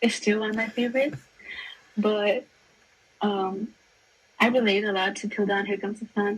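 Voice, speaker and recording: At a moderate pace, a woman speaks with medium pitch and monotone, flat intonation. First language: not English. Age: 20s. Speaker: music fan guest. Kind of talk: casual chat.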